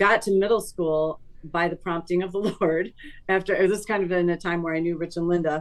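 Fairly low pitch from a woman with an unremarkable speaking voice, fairly even intonation and a fairly quick pace. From Chicago northern suburbs, US Midwest. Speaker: church music teacher and vocalist. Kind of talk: testimony.

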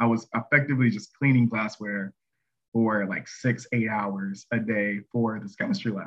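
An ordinary speaking voice from a man with an American accent, medium pitch, fairly even intonation and a moderate pace. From North Carolina, near Charlotte. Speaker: research scientist. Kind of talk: casual interview.

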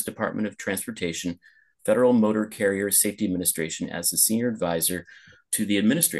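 A man's fairly low voice in a West Coast accent over a quiet background. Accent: general American, West Coast. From Los Angeles, US West Coast. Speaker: podcast host. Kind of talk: casual interview conversation. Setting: video call, remote, host in Lisbon. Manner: filler-heavy, conversational.

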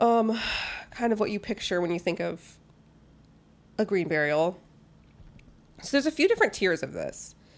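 The speech moves at a moderate pace with lively intonation. Long pauses come often. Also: woman, medium pitch for a woman. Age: 30s. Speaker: podcast co-host. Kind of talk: casual chat.

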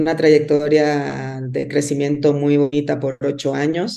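A woman speaks at a fairly slow pace in a very deep, low voice with a dark, mellow tone and fairly even intonation. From Dominican Republic. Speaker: business executive. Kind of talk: interview. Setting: remote call. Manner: halting, with fillers.

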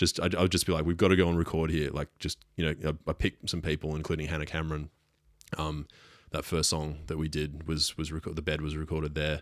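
In an Australian accent, a man speaks at a very fast pace with a very deep, low pitch and monotone, flat intonation, on a very clean recording with a silent background. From Brisbane, Australia. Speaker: music producer. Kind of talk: casual chat. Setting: studio.

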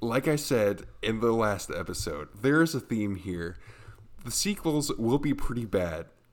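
Using a raspy, put-on character voice, a man at a medium pitch and moderate pace swings his pitch very widely. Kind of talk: announcer. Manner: announcer voice.

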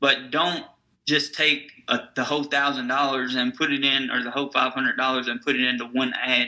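With a Tennessee accent, a man speaks at a medium pitch and a fairly quick pace in a monotone, flat intonation. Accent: Southern US (Tennessee). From US South, Nashville, Tennessee. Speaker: digital marketing agency owner. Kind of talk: interview.

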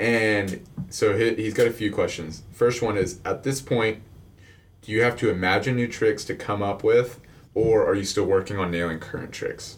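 In a Texan accent, a man with a fairly low pitch speaks at a moderate pace, somewhat breathy. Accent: Texan American. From Houston, Texas. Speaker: podcast host. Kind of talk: scripted intro reading; casual interview chat. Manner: animated.

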